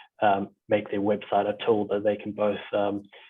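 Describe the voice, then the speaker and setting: Here a man speaks at a fairly low pitch. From South Africa. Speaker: meeting host, digital design studio owner. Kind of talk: online meeting wrap-up. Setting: video call. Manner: halting, many fillers.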